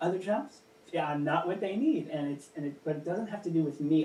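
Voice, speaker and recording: This man's voice sits fairly high and shows ordinary pitch variation, with noticeable background noise behind him. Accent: American. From Kansas. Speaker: puppeteer. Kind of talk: interview.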